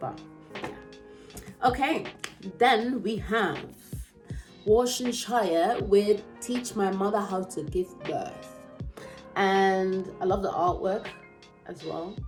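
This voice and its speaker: Music in the background behind a woman's very slow speech at medium pitch, with ordinary pitch variation and long, frequent pauses. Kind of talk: casual talk to camera.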